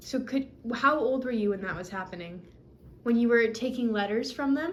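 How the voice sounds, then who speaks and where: A woman talks with lively intonation at a moderate pace. Noticeable background noise is present. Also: fairly high pitch for a woman. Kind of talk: casual interview questions.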